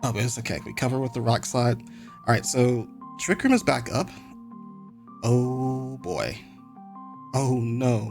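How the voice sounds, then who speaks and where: Over music in the background, a man speaks at a medium pitch and fairly slow pace. His pitch varies in an ordinary way, and his pauses are long and frequent. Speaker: Pokemon VGC commentator. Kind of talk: casual game commentary.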